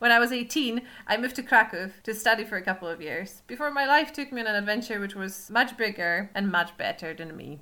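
Loud and fast, a woman with a Polish accent talks at a fairly quick pace with lively intonation and hardly any pauses. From Poland. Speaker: podcast host. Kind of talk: podcast teaser intro. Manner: loud laugher.

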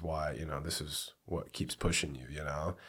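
Speaking in a flat monotone at a moderate pace, a man talks with an American accent. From US Pacific Northwest (Port Angeles, Washington). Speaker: professional MMA fighter. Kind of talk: casual interview.

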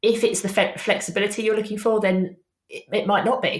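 A somewhat breathy woman with fairly even intonation. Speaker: social media business coach. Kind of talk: casual interview chat.

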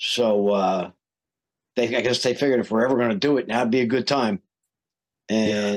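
A man talks in an American accent, his medium pitch varying in an ordinary way. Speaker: heavy metal singer. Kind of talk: casual chat.

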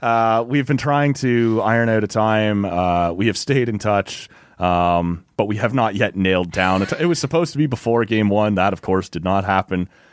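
Speaking with a Canadian accent in a plain, everyday voice, a man talks at a moderate pace with hardly any pauses, a fairly low pitch and ordinary pitch variation. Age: 30s. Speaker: sports podcast host. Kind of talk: casual sports chat.

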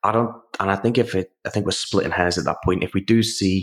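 In a British accent, a man with a very deep, low pitch speaks at a very fast pace with fairly even intonation, and the sound is dry and close with no echo. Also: very clean recording, silent background. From UK. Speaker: exercise science professor. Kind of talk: interview. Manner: hesitant, with many fillers.

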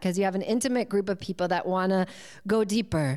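A woman talks at a very fast pace in a New England accent. Her pitch varies in an ordinary way. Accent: American, New England. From US Northeast, near Boston. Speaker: yoga teacher and coach. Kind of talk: interview.

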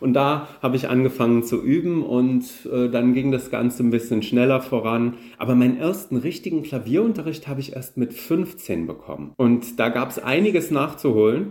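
With a normal speaking voice, a man speaks at a moderate pace and medium pitch, showing ordinary pitch variation. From Saarland, Germany. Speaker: concert organist. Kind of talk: interview.

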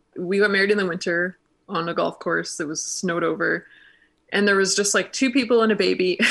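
A woman's medium-pitched voice with vocal fry, fairly even intonation and a fairly quick pace against a quiet background. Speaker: donut business owner. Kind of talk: casual interview.

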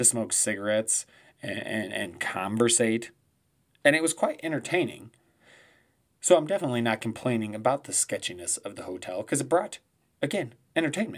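Animated in tone, a man with a medium-pitched voice talks at a fairly quick pace with lively intonation. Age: 30s. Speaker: podcast host. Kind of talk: casual solo monologue.

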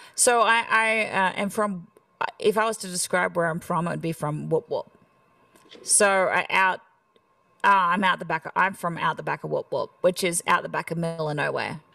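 A woman speaks at a moderate pace. She has an Australian accent. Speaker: country singer. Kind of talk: casual interview chat.

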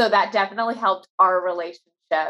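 An American accent from a woman with an ordinary speaking voice, medium pitch and ordinary pitch variation. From Virginia Beach, Virginia. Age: 30s. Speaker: event planner. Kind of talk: casual chat.

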